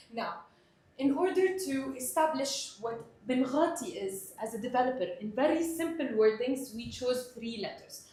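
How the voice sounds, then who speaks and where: Amid audible room echo and noticeable background noise, a woman speaks at a moderate pace in a high voice with lively intonation. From Middle East (Palestinian Egyptian). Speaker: sales trainer. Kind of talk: training presentation.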